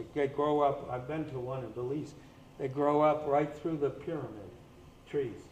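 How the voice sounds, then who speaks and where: There is audible room echo as a man with a fairly high pitch speaks at a moderate pace. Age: 80s+. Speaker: scientist presenting at a conference. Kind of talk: conference presentation.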